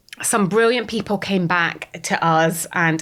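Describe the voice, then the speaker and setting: The speaker has a Scottish accent and lively intonation. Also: woman. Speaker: startup founder. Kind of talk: podcast interview. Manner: animated.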